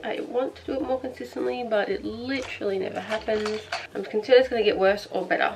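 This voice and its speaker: With an Australian accent, a woman talks at a fairly quick pace and a medium pitch over noticeable background noise. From Australia (Victoria). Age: 20s. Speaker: beauty vlogger. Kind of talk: casual chat while doing makeup. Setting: bedroom. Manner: fast, chatty.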